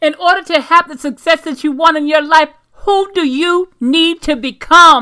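A woman speaks in a raised, projected voice at a moderate pace, with big swings in loudness. Her pitch is extremely high and her tone bright and sharp. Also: ordinary pitch variation. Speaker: motivational podcaster. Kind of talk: pep talk, affirmations with a preacher-like tone. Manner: animated; emphatic, commanding, motivational.

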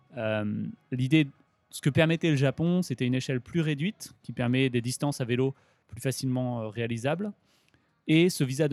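A man with a medium-pitched, normal speaking voice talks at a moderate pace, the sound dry and close with no echo. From Grenoble, France. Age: 20s. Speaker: cycle traveller. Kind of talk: interview.

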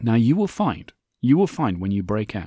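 This man talks at a moderate pace with a dark, mellow tone and very wide pitch swings, in a dry, close recording with no echo, very clean against a silent background. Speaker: podcast host. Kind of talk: solo podcast monologue. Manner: conversational.

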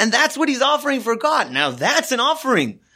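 With an American accent, a man speaks in a raised, projected voice. His pitch is extremely high, with ordinary variation. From US West Coast, Los Angeles. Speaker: rabbi. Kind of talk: Torah lesson. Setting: studio.

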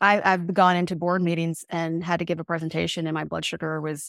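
A woman talks at a fairly quick pace with a fairly low pitch and an ordinary speaking voice. The sound is dry and close, with no echo. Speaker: podcast host. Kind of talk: casual interview chat. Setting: remote call.

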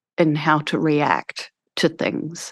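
Against a quiet background, a woman with a New Zealand accent speaks with a dry, close sound and no echo. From New Zealand, small town. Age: 50s. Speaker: school founder. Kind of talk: interview conversation.

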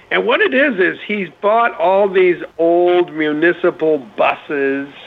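Noticeable background noise surrounds a man's voice. His pitch is high and his intonation lively. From Maine. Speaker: entertainment car expert. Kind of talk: casual chat.

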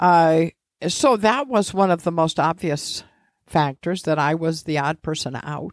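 With an American accent, a woman in an unremarkable speaking voice talks at a fairly slow pace in a fairly low pitch with ordinary pitch variation, recorded very cleanly against a silent background. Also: dry, close sound with no echo. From Indiana, US Midwest. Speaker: federal judge. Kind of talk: interview conversation.

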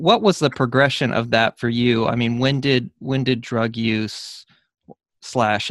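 A plain, everyday voice from a man at medium pitch, fairly slow and fairly even in intonation, with a dry, close sound and no echo. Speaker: podcast host. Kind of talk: interview.

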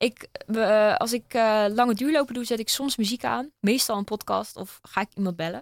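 In an ordinary speaking voice, a woman talks at a fairly high pitch and a moderate pace with ordinary pitch variation and hardly any pauses, in a dry, close sound with no echo on a very clean recording with a silent background. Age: 20s. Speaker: open water swimmer and runner. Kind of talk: casual chat. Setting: studio.

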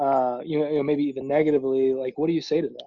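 Against a quiet background, a man with a fairly high pitch speaks in a dark, mellow tone. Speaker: podcast host. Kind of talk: interview. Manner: excitable.

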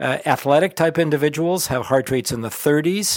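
A man talks at a fairly quick pace with an unremarkable speaking voice, fairly high in pitch, with ordinary pitch variation. The recording is very clean with a silent background. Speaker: cardiologist and electrophysiologist. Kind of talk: educational interview.

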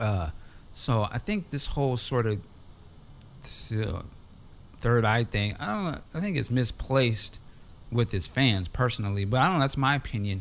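Using a normal speaking voice, a man talks at a fairly slow pace with a medium pitch and lively intonation. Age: 40s. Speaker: podcast host. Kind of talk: casual chat. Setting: remote call.

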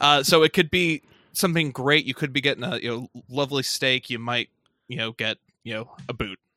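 A man talks at a fairly quick pace in an unremarkable speaking voice. His pitch is medium with ordinary variation, and his loudness swings widely. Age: 30s. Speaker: podcast host. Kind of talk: casual chat.

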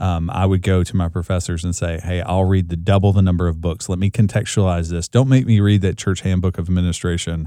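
A man's very deep, low voice with an American accent, dark and mellow in tone, at a very fast pace with hardly any pauses, in a very clean recording with a silent background. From US South, rural Kentucky. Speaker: church leadership trainer and former pastor. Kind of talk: interview. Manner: animated.

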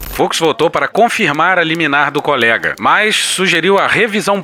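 Noticeable background noise sits behind the speech. A man talks at a moderate pace with lively intonation. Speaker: podcast host. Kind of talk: satirical news commentary.

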